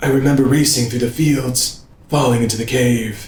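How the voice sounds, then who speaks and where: Someone puts on a character voice, heard with a slight echo. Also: man, medium pitch for a man, moderate pace. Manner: deliberately stupid voice.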